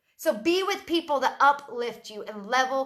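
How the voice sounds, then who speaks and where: This woman's voice sits high in pitch and swings very widely up and down. She speaks in a raised, projected voice. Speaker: side-hustle entrepreneur live streamer. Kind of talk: motivational Facebook live video. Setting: live stream. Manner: loud; animated.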